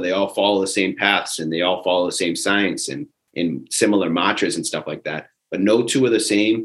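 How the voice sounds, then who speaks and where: A man speaks in a normal speaking voice at a fairly low pitch and a moderate pace, with ordinary pitch variation. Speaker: fitness bootcamp coach. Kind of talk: casual recap chat.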